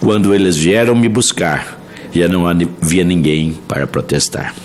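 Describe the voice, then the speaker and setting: Over music in the background, a man with a very deep, low pitch speaks fairly slowly with ordinary pitch variation and very even loudness. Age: 70s. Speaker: senator. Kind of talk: public hearing speech. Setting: senate hearing room. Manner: formal.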